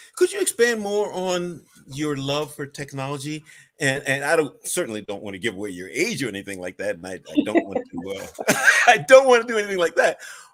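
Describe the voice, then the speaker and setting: In a New York accent, a man with a fairly high pitch talks at a fairly quick pace, with very wide pitch swings and big swings in loudness. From Staten Island, New York. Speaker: interview host, education consultant. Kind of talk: interview.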